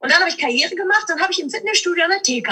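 Her pitch rises and falls across a very wide range. The woman uses a raised, projected voice. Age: 40s. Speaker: motivational speaker and trainer. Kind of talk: interview.

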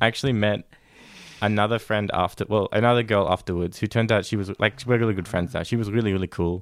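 Speaking at a very fast pace, a man has an Australian accent. His pitch is fairly low. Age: 20s. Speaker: podcast guest. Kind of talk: casual chat. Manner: hesitant.

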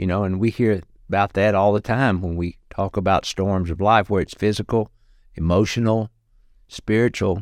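A man's fairly low voice with a Southern US accent, fairly even intonation and a moderate pace, dry and close with no echo, in a very clean recording with a silent background. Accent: US South. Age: 60s. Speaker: clown entertainer and disaster relief volunteer. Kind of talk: interview testimony.

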